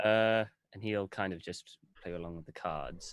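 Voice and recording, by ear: Slowly, a man speaks at a fairly low pitch with a fairly bright, clear, smooth tone.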